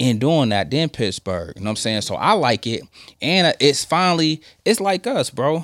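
Someone with an American accent speaks at a moderate pace with lively intonation in a very clean recording with a silent background. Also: man. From Michigan. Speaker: sports podcast host. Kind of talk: casual chat. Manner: animated.

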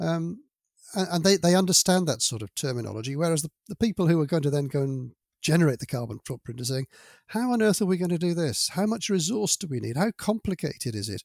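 A man with a British accent speaks at a very fast pace in a high pitch with very wide swings. The recording is very clean with a silent background and a dry, close sound with no echo. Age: 60s. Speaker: manufacturing sustainability director. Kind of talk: interview.

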